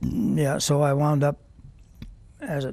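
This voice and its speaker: A man with an American accent has a fairly high pitch and a dark, mellow, somewhat breathy tone. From US Midwest (Nebraska). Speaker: war veteran. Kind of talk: oral history interview. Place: studio. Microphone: lapel.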